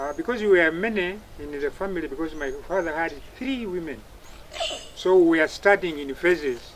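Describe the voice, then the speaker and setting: Over noticeable background noise, a man with a high voice and ordinary pitch variation speaks with big swings in loudness. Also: moderate pace. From Uganda. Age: 70s. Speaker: retired army officer. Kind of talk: interview. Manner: halting.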